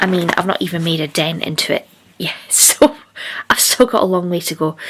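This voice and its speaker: Over noticeable noise in the background, the speech carries lively intonation. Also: woman, fairly low pitch for a woman, fairly quick pace. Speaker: book vlogger. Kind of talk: casual vlog chat.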